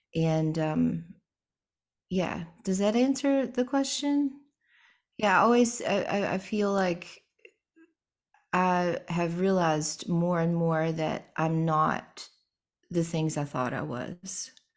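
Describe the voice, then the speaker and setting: Soft-spoken and very slow, a woman talks in a fairly low voice with lively intonation and long, frequent pauses. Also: very clean recording, silent background. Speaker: singer-songwriter. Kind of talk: interview.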